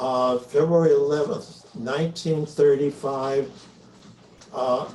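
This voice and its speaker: Somewhat breathy and very slow, a man with an American accent speaks at a fairly high pitch with ordinary pitch variation. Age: 80s. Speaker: longtime reader, speaker. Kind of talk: conversational presentation. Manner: halting, many fillers.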